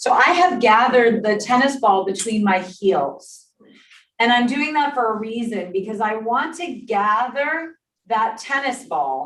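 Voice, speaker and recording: With lively intonation, a woman talks at a fairly slow pace and a fairly high pitch. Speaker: exercise instructor. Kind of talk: exercise class instruction. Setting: in-person class also streamed on Zoom. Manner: clear.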